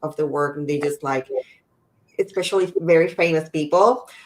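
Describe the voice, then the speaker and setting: Speaking at a moderate pace, a woman has an unremarkable speaking voice with a fairly low pitch. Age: 40s. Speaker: podcast host. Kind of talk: interview conversation.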